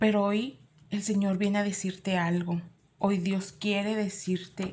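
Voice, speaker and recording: The speech moves at a fairly slow pace with fairly even intonation. Noticeable background noise and audible room echo are present. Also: woman. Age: 40s. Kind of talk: sermon.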